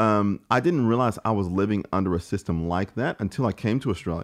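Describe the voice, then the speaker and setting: Speaking fairly quickly, a man uses a fairly low pitch with ordinary variation. The background is quiet. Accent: American. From St. Louis, Missouri, US Midwest. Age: 20s. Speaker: podcaster and creative entrepreneur. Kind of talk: casual interview conversation.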